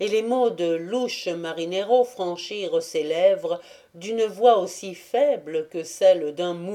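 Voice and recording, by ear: Someone is reading aloud here in a natural voice.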